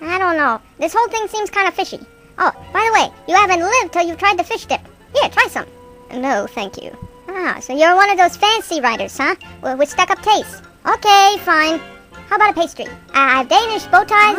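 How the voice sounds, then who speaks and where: A woman uses a put-on character voice at an extremely high pitch, raised and projected, at a fairly quick pace. Faint music plays in the background. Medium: solo performance. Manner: pushy, sarcastic salesman.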